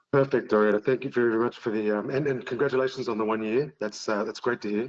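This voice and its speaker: A man with an Australian accent, very fast and fairly even in intonation. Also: medium pitch for a man. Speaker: penetration testing firm director. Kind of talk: casual interview chat. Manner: hesitant, many fillers.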